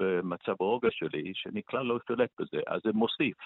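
A man speaks with a non-native accent. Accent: foreign accent in Hebrew. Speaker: author of a meditation book. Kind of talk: radio interview.

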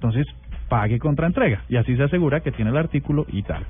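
Music plays in the background behind a man. His voice sits at a fairly high pitch with ordinary pitch variation. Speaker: radio co-host. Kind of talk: casual chat.

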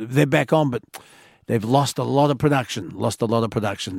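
A man with an Australian accent at a moderate pace, ordinary pitch variation, in a very clean recording with a silent background. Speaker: overnight talkback radio host. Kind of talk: talkback radio. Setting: radio studio.

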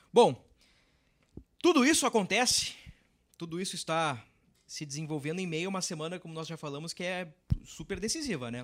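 A man's high voice with lively intonation, a fairly quick pace and long, frequent pauses. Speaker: sports reporter and podcast host. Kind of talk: football podcast discussion. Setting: studio.

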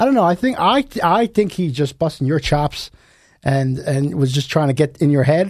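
An unremarkable speaking voice from a man, fairly high-pitched, at a moderate pace with lively intonation over a quiet background. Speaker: podcast host. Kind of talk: casual chat. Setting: studio.

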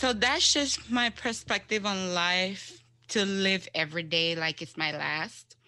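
With music in the background, a woman of medium pitch speaks at a very slow pace and with lively intonation. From Jamaica. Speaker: cancer survivor. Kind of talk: interview, personal story.

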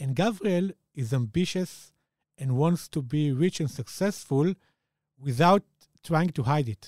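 A man with an Israeli accent and a fairly high voice speaks at a fairly slow pace with long, frequent pauses and lively intonation. The recording is very clean, with a silent background and a dry, close sound with no echo. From Israel, Jerusalem. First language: Hebrew. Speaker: author. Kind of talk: interview.

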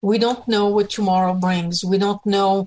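Here is a woman with an unremarkable speaking voice. Her pitch is medium and her intonation fairly even. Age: 60s. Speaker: political activist. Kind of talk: radio interview.

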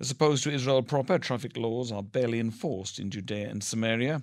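A man's unremarkable speaking voice at a fairly quick pace, with ordinary pitch variation, on a very clean recording with a silent background. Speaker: radio newsreader. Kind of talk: newsreading: scripted, formal radio bulletin read steadily and evenly. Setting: studio. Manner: formal, measured, neutral and steady pace.

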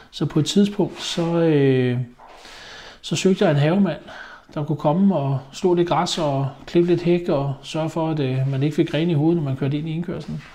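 Intonation stays fairly even in a dark, mellow tone. Nothing stirs in the quiet background. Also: man, fairly high pitch for a man, moderate pace. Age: 50s. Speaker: haulage business owner. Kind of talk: interview testimony. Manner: hesitant, many fillers.

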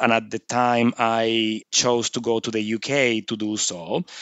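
A man talks with a Venezuelan accent. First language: Spanish. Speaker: surgeon. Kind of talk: interview.

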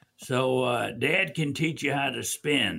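In a Louisiana accent, a man speaks at a very slow pace and a fairly high pitch in a bright, sharp tone, on a very clean recording with a silent background. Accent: US South, Louisiana. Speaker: financial firm founder. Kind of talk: radio talk show.

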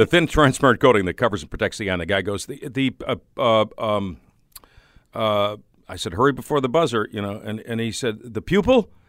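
A man with an American accent talks at a fairly quick pace and a medium pitch. His intonation is lively, and his loudness swings widely. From Chicago area, Illinois. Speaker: radio host. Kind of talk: casual interview chat.

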